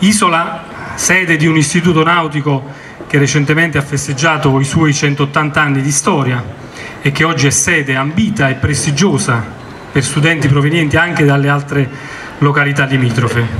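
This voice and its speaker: Against light background noise, a man with a fairly high pitch talks at a moderate pace with very even loudness, fairly even intonation, and long, frequent pauses. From Italy. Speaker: naval officer, commander of the local maritime office. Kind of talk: formal commemorative speech. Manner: formal. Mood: solemn, commemorative. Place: street. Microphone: podium.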